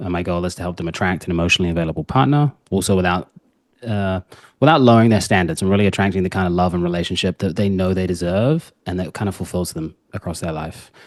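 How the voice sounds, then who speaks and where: In a New Zealand accent, a man with a very deep, low pitch speaks at a very fast pace with ordinary pitch variation against a quiet background. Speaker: dating coach. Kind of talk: podcast interview.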